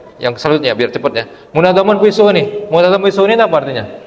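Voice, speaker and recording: Audible echo from the room colors a man's voice. Noticeable background noise is present as well. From Palembang, South Sumatra, Indonesia. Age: 60s. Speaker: Islamic preacher. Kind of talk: sermon. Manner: conversational, animated.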